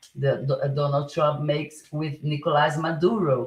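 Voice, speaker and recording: The speaker talks at a fairly slow pace with a Portuguese accent. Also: woman. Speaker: political live streamer. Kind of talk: live stream monologue. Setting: live stream. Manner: halting, many fillers and restarts.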